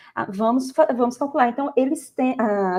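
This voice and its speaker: A woman talks at a moderate pace in a high, dark, mellow voice with ordinary pitch variation. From Goiás, Brazil. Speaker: math teacher. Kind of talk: podcast interview. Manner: halting with false starts.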